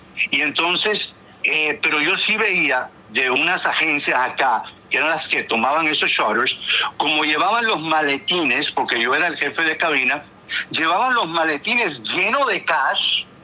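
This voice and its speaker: At a fairly slow pace and with very even loudness, the speaker uses lively intonation in a Miami Cuban accent over noticeable background noise. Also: man, fairly high pitch for a man. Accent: Cuban-American Spanish, Miami. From Cuban American raised in Miami, US. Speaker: former flight attendant, talk show guest. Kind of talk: casual chat. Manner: animated.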